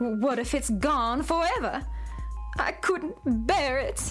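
Over faint music in the background, a woman does a put-on character voice at a high pitch, speaking at a slow pace with lively intonation. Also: fairly bright tone.

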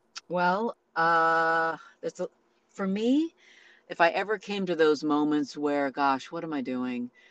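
A woman with an American accent has a plain, everyday voice, fairly low in pitch with ordinary pitch variation. The sound is dry and close, with no echo. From Northern California, Santa Rosa. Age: middle-aged. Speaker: actress. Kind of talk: interview.

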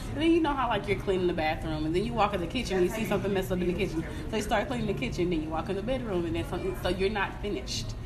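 Music plays behind a woman's voice. She talks at a very fast pace with hardly any pauses. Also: medium pitch for a woman, lively intonation. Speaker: life coach. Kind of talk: casual chat.

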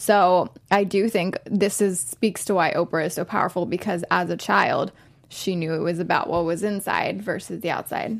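A woman talks at a medium pitch with vocal fry. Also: fairly even intonation, moderate pace. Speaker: co-host. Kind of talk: casual chat.

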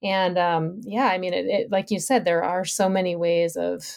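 A woman with an American accent and fairly low pitch uses a plain, everyday voice at a moderate pace on a very clean recording with a silent background. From Minnesota, US Midwest. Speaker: environmental historian and professor. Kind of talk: podcast interview. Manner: frequent fillers (um, uh).

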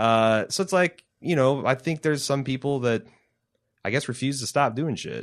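In an American accent, a man with a medium pitch, lively intonation and an unremarkable speaking voice talks at a moderate pace against a quiet background. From US Midwest (Cincinnati). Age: 30s. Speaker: podcast host. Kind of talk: casual chat. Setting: studio.

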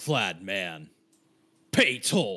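This man is doing a put-on character voice. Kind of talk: broken, terse speech. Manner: demanding, threatening.

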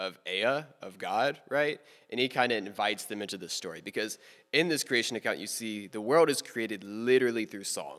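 On a very clean recording with a silent background, a man with an American accent talks at a moderate pace in an unremarkable speaking voice, his medium pitch varying in an ordinary way while his loudness swings widely. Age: 20s. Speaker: college student. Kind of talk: casual chat.

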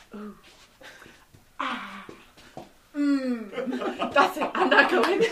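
The voice is a put-on character voice, high-pitched and gruff. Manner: grumpy, gruff.

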